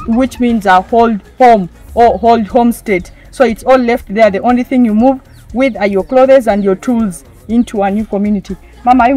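Over faint music in the background, a woman speaks at a moderate pace with fairly even intonation in a dry sound with no echo. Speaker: presenter. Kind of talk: presenter commentary. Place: open country.

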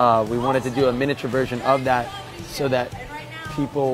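With clear music in the background, a man speaks in a monotone, flat intonation at a moderate pace, the sound dry with no echo. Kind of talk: interview answer. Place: bar.

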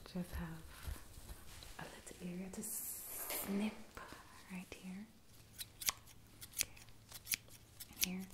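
A soft-spoken woman talks very slowly, with long, frequent pauses. Loud background noise fills the recording. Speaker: hair tutorial vlogger. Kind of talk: tutorial. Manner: soft ASMR murmur, close to camera. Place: home room. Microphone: phone near.

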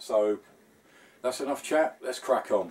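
The voice belongs to a man. He keeps a moderate pace. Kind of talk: casual workshop vlog chat. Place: workshop.

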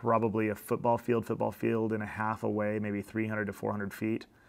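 This man's fairly low voice stays monotone and flat, moving at a moderate pace. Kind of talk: tutorial commentary. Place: office.

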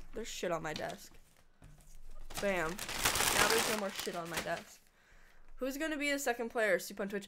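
Against noticeable background noise, a woman with fairly high pitch speaks in very wide pitch swings. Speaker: video game streamer. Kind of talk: live stream chat while gaming. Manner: animated.

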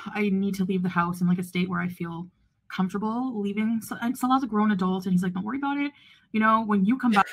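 A woman's voice is somewhat breathy. She speaks at a very fast pace. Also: ordinary pitch variation. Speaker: vlogger. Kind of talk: casual vlog chat. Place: home room. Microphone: phone near.

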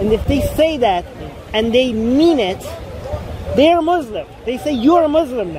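A man speaks at a moderate pace with an extremely high pitch and ordinary pitch variation. The sound is dry with no echo, over noticeable background noise. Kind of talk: casual vlog chat. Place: open country. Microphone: phone near.

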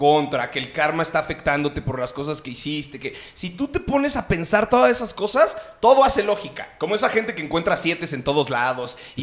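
The voice moves through very wide pitch swings with hardly any pauses. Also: man, fairly quick pace. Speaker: podcast host or guest, stand-up comedian. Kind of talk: casual podcast conversation. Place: studio. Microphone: studio mic.

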